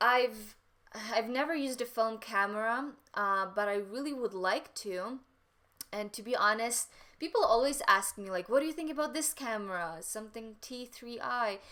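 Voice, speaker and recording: Her tone is bright and sharp, at a fairly high pitch with ordinary pitch variation. This woman talks at a moderate pace with big swings in loudness. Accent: Ukrainian. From Western Ukraine. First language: Ukrainian. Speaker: photographer. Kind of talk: live stream Q&A chat.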